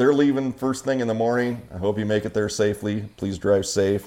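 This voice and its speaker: Here a man talks with an American accent. His pitch is fairly low, with ordinary variation. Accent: regional Idaho accent noticed by others. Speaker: podcast host. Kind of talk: casual chat.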